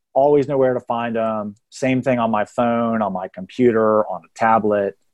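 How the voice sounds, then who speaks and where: An unremarkable speaking voice belongs to a man with an American accent, who talks at a medium pitch and a moderate pace. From Texas. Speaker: real estate hiring consultant. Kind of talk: podcast interview.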